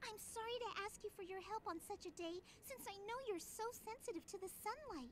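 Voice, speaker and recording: A put-on character voice at an extremely high pitch moves at a fairly quick pace. Clear background noise is audible. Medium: video game. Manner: polite, earnest.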